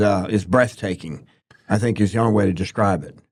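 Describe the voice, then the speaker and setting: His tone is dark and mellow, with a fairly low pitch. The man's speech shows ordinary pitch variation. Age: 70s. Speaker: podcast co-host. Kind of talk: casual discussion. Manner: halting, many repeated words.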